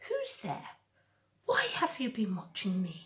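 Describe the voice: At a fairly slow pace, a put-on character voice with a fairly high pitch comes through with hissing.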